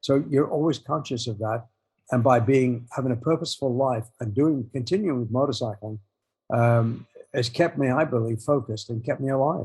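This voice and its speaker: With an English accent, a man talks in a somewhat breathy voice at medium pitch and a moderate pace, using ordinary pitch variation. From England. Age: 70s. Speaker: motorcycle filmmaker and author. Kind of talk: interview conversation. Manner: halting.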